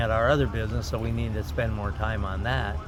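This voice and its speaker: A man with a Canadian accent and very wide pitch swings, with audible room echo and noticeable background noise. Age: 70s. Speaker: race car driver. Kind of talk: casual interview.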